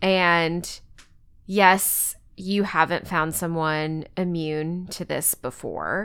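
Over a silent background in a very clean recording, a woman with an American accent speaks very slowly in a fairly low pitch, her intonation monotone and flat. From Texas. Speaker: podcast co-host. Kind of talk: casual chat.

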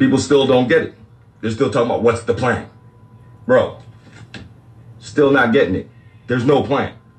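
Pausing long and often, a man with a medium pitch speaks at a moderate pace in a somewhat breathy voice with fairly even intonation. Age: 40s. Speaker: livestream spiritual talk host. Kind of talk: casual livestream monologue.

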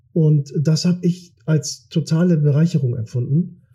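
A man's fairly high voice with a dark, mellow tone. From Kiel, northern Germany. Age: 40s. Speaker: politician. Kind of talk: interview. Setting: studio.

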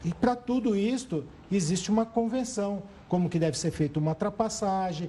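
This man talks at a fairly quick pace in a dark, mellow tone, his pitch high for a man and his pitch variation ordinary. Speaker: traffic law attorney. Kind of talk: TV interview.

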